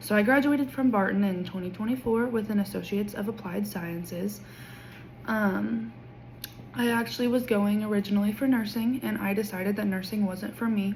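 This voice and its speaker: With an American accent, a woman speaks at a fairly quick pace and medium pitch. Her intonation is fairly even, and audible room echo surrounds her voice. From Kansas, small town west of Wichita. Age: 20s. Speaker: education student. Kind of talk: class introduction video. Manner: casual with filler ums.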